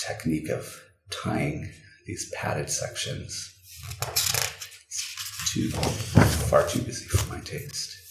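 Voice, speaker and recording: Over noticeable background noise, a soft-spoken man talks at a very slow pace, his loudness swinging widely. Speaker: ASMR creator. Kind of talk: soft-spoken ASMR book flip-through. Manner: soft-spoken, comforting.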